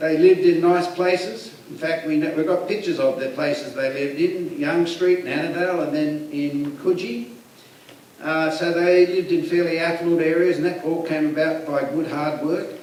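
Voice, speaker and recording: A high-pitched man with an Australian accent at a moderate pace, with noticeable background noise and audible room echo. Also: fairly even intonation. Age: 60s. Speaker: guest speaker. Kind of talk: talk to a community group. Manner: halting, with fillers.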